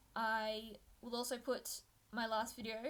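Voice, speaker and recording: A woman with a fairly high pitch speaks with vocal fry. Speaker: sewing YouTuber. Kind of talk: casual tutorial vlog.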